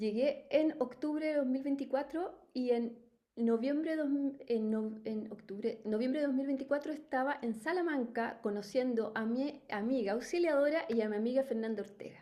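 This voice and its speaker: A woman speaks with a Chilean accent at a high pitch, with ordinary pitch variation and an animated tone. Her pace is moderate, with hardly any pauses. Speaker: life coach, company founder. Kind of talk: webinar talk. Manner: spontaneous, animated.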